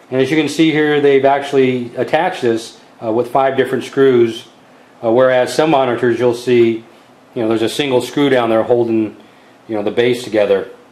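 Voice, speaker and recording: Fairly brisk talking with noticeable background noise. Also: man, medium pitch for a man, fairly even intonation. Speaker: tech video creator. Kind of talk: product review tutorial. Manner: casual, many fillers.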